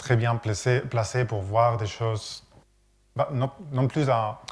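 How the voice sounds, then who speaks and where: Somewhat breathy, a man speaks at a fairly slow pace with monotone, flat intonation. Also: very clean recording, silent background. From Catalonia, Spain. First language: Catalan (speaking French). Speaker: architect. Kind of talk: lecture. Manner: halting.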